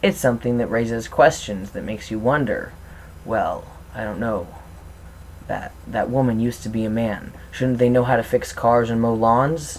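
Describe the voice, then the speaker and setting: A man's medium-pitched voice with fairly even intonation. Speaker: transgender video blogger. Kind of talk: vlog monologue. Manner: fast.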